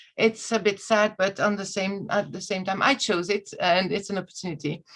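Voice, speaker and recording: Speaking fairly quickly with a non-native accent, a woman uses a medium pitch and fairly even intonation. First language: not English. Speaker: EU recruitment communications officer. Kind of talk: webinar presentation. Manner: halting, many fillers.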